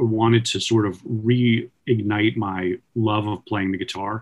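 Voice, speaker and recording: A man speaks in an ordinary speaking voice at medium pitch with an American accent. His pace is fairly slow. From Long Island, New York. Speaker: musician, band leader. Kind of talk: interview.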